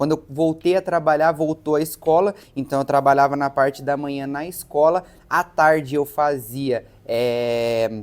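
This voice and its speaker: Using an unremarkable speaking voice, a man talks at a fairly slow pace and a fairly high pitch, keeping his intonation fairly even. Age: 20s. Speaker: young entrepreneur, clothing store owner. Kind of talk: interview.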